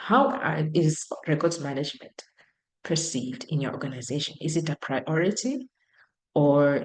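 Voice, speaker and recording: A woman with a very deep, low pitch, a moderate pace and a non-native accent. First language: not English. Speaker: professor. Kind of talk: lecture. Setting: video call.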